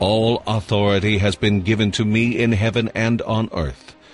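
A man talks at a fairly slow pace in a medium pitch. Noticeable background noise runs behind him. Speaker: scripture reader. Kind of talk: reading aloud.

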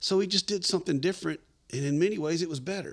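In a very clean recording with a silent background, a man speaks in a Southern US accent. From Middle Tennessee. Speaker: musician. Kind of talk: casual chat.

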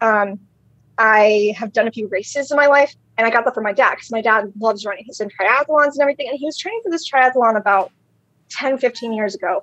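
At a very fast pace, a woman with an American accent speaks at a fairly high pitch with ordinary pitch variation, in a dry, close sound with no echo. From Maryland Eastern Shore. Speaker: social media personality. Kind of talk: casual chat.

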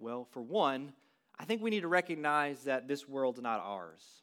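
Speaking at a moderate pace, a man with a fairly high voice makes very wide pitch swings in a very clean recording with a silent background. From West Texas, small town. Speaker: student pastor. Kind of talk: sermon. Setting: church. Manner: casual with frequent fillers.

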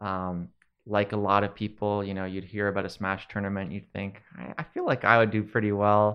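An unremarkable speaking voice from a man, fairly low in pitch, at a moderate pace, with fairly even intonation and big swings in loudness. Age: 20s. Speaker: video game content creator and commentator. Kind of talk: casual interview.

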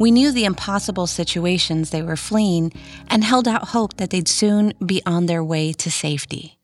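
Over music in the background, a woman with an American accent speaks at a moderate pace and medium pitch, with ordinary pitch variation. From US South (Rio Grande Valley, South Texas). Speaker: podcast host and immigration attorney. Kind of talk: scripted narration.

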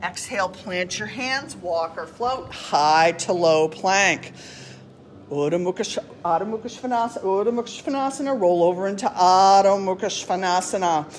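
With an unremarkable speaking voice at a medium pitch, a woman talks at a fairly slow pace with lively intonation. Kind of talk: guided yoga class, step-by-step cueing of poses. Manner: calm, soothing, encouraging, steady instructional pace with warm praise.

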